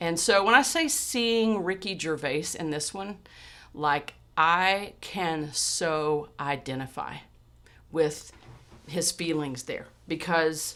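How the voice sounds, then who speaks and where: A woman with a Texan accent speaks very slowly, her fairly low voice bright and sharp in tone. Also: ordinary pitch variation. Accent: Texan pronunciation of chemotherapy. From Texas. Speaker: podcast host. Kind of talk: personal storytelling monologue. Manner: casual with frequent fillers and repetitions.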